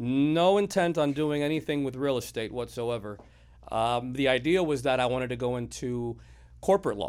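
A man with an American accent has an ordinary speaking voice at a medium pitch. He keeps a moderate pace with ordinary pitch variation. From Miami, Florida. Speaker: title company owner. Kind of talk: casual interview.

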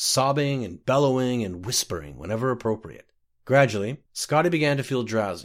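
An unforced reading voice comes through with a quiet background behind it.

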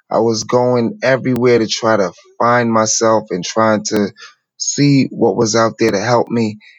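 An unremarkable speaking voice from a man with an American accent, medium pitch, fairly even intonation and a fairly slow pace. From New York City. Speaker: spiritual teacher. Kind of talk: interview storytelling.

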